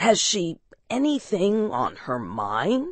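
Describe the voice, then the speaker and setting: A raspy, put-on character voice moves along at a very slow pace. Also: woman. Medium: read story. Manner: blunt.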